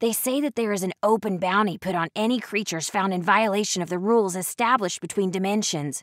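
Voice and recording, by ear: The speaker reads aloud. The voice is natural.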